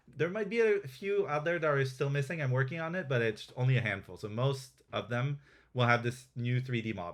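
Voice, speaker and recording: Speaking with a French accent, a man with a medium pitch talks at a fairly quick pace with lively intonation, on a very clean recording with a silent background. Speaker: game developer presenting updates. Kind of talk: live stream product demo. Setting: live Twitch stream. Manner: hesitant, many fillers and restarts.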